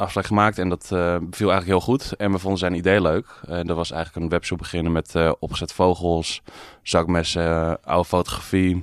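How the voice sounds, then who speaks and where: A man's very deep, low voice, monotone and flat at a fairly quick pace, dry and close with no echo on a very clean recording with a silent background. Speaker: shop owner. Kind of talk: interview. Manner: calm.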